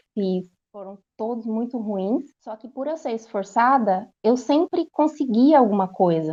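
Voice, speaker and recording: A soft-spoken woman with a São Paulo accent, fairly high-pitched, lively in intonation, at a moderate pace. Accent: Brazilian Portuguese, São Paulo. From Brazil, São Paulo. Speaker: language course student giving testimonial. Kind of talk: testimony. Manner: halting.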